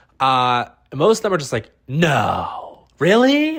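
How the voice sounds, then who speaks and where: Animated in tone, a man with an American accent makes very wide pitch swings. The recording is very clean, with a silent background. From US Midwest, Ohio. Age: 20s. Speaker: podcast host. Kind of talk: solo comedy podcast monologue.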